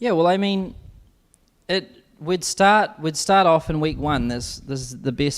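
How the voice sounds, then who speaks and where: The speaker has a New Zealand accent and lively intonation. The pace is fairly slow, with long, frequent pauses. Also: man, fairly high pitch for a man. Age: 20s. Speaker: business coach. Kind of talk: webinar interview.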